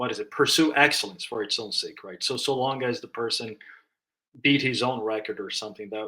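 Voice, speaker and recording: A man's medium-pitched voice with a bright, sharp tone and a non-native accent. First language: not English. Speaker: book discussion guest. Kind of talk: casual discussion. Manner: halting, many fillers and restarts.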